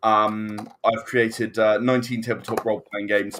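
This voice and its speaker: On a very clean recording with a silent background, a man at medium pitch speaks at a moderate pace. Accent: British. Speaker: game designer. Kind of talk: casual chat. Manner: halting.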